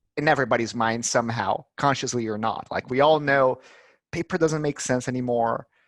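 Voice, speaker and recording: A man with a Portuguese accent talks at a moderate pace with a medium pitch. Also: dry, close sound with no echo. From Brazil. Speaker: head of marketing. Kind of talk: interview.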